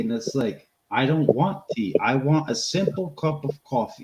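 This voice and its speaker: A somewhat breathy man's voice, fairly high-pitched, at a fairly slow pace with lively intonation. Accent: Boston. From Boston area, US. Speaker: homesteading channel co-host. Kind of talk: casual chat. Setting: live stream.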